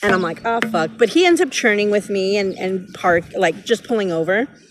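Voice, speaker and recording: A woman talks in an animated tone at a fairly quick pace. Noticeable background noise runs behind her. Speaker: tarot reader. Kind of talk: casual tarot reading vlog. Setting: outdoors in a park. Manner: loud.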